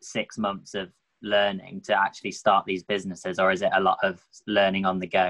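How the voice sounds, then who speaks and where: A man with an English accent speaks in a fairly low, bright, sharp voice, the sound dry and close with no echo. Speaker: podcast host. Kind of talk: interview. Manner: casual.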